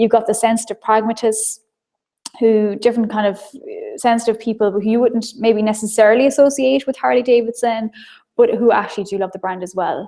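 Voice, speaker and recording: Her voice is fairly high-pitched, with a dark, mellow tone and an Irish accent. The woman keeps her intonation fairly even, though her loudness swings widely. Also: fairly quick pace. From Ireland. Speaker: marketing trainer. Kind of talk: webinar lecture. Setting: live online broadcast. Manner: fast.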